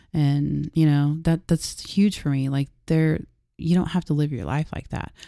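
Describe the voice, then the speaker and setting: A woman with an American accent speaks fairly slowly in a very deep, low voice with a dark, mellow tone and fairly even intonation. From Oklahoma, US. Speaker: criminologist and former landman. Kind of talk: casual interview chat.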